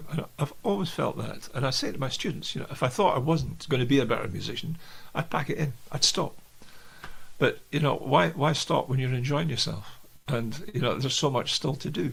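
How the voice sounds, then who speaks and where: A man with a Scottish accent speaks fairly quickly in a fairly high voice with vocal fry and ordinary pitch variation. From Scotland, Aberdeenshire coast. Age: 70s. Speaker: jazz pianist and educator. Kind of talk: interview.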